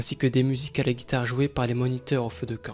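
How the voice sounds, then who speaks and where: A man's very fast, monotone delivery at medium pitch, flat in intonation, on a very clean recording with a silent background. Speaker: urban explorer vlogger. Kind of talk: exploration vlog commentary; scripted narration.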